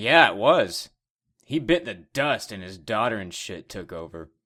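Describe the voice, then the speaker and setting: Using a put-on character voice, a raspy man at a medium pitch speaks at a moderate pace with very wide pitch swings and big swings in loudness. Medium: audio drama. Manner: brash, crude.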